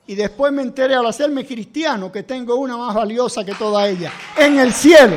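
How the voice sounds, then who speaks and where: At a moderate pace, a man speaks with an extremely high pitch and ordinary pitch variation. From Cuba. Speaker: pastor. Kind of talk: sermon.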